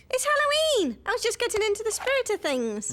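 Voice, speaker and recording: A woman does a put-on character voice that is squeaky and extremely high with a warm tone, racing at a very fast pace with very even loudness over light background noise. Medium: cartoon. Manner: bright, warm, slightly hesitant.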